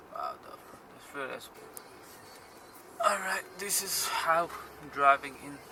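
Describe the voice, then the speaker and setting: A man at a very slow pace with long, frequent pauses, over noticeable background noise. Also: big swings in loudness. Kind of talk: casual commentary while driving. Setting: inside a car.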